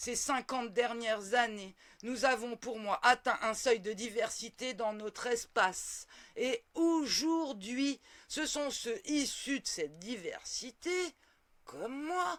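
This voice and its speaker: A woman's high, theatrical voice with lively intonation at a very slow pace, on a very clean recording with a silent background. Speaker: political commentator. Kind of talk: opinion monologue. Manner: professorial.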